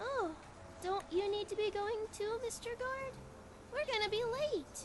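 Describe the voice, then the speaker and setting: A female-sounding, put-on character voice at an extremely high pitch keeps a moderate pace over loud background noise. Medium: game stream. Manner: slow, dreamy, sing-song.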